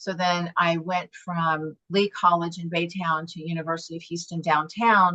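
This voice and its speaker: Here is a woman with a bright, sharp tone. Her intonation is monotone and flat. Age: 60s. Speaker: club member and student. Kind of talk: casual chat.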